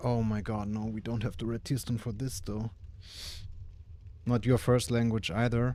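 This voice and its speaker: Speaking at a moderate pace with a dark, mellow tone, a man holds a medium pitch and fairly even intonation, leaving long, frequent pauses. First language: not English. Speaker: gaming streamer. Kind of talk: live gameplay commentary.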